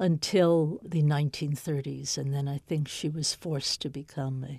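On a very clean recording with a silent background, a dark, mellow, somewhat breathy voice with an American accent speaks at a fairly slow pace with fairly even intonation. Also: woman. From US (New York, later elsewhere). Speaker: author. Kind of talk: interview.

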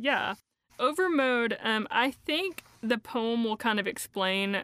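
The voice has a bright, sharp tone and ordinary pitch variation, with an Appalachian accent. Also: woman. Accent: Appalachian Southern. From East Tennessee, Appalachia. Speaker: poet. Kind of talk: interview about her poetry.

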